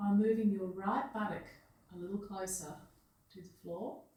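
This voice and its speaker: A woman speaks in a calm tone with an Australian accent. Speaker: physiotherapist and Feldenkrais practitioner. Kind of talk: guided movement lesson instruction. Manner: slow, calm.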